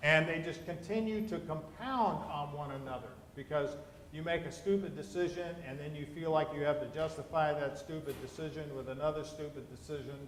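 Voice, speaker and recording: Background noise is noticeable and the room echoes audibly. A man talks fairly quickly at a fairly high pitch, with ordinary pitch variation. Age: 60s. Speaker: pastor. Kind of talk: sermon.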